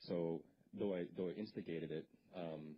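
A man with a Canadian accent speaks at a very deep, low pitch. His intonation is monotone and flat, with light background noise. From Canada (northwestern Ontario). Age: 30s. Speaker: presenter. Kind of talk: lecture. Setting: stage with audience. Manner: halting, repeats words. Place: hall. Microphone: handheld.

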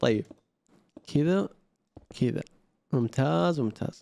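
A man talks at a fairly slow pace in a dark, mellow tone. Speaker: gaming YouTuber. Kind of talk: gameplay commentary. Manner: low energy. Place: home room.

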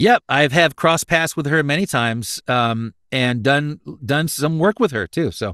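Over a quiet background, a man talks at a fairly slow pace with a bright, sharp tone and lively intonation, the sound dry with no echo. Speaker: voice actor, pastor, musician. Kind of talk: interview answer. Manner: casual, hesitant, many fillers. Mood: reflective, candid. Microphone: studio mic.

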